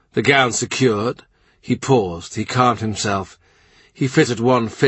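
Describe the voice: Pitch varies in an ordinary way as the text gets plain reading aloud.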